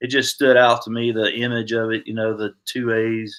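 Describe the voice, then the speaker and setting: The speaker has a Southern US accent and a bright, sharp tone. The pace is moderate, and the recording is very clean with a silent background. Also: man. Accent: Southern US (Georgia). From US South, Georgia. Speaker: army veteran, paratrooper. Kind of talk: interview conversation. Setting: podcast.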